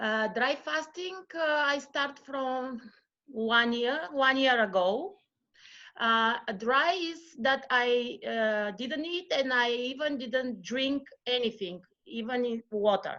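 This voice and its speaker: Speaking very slowly with a Bulgarian accent, a woman uses a high pitch and a bright, sharp tone with ordinary pitch variation against a quiet background. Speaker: yoga practitioner and mother. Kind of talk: interview. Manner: halting.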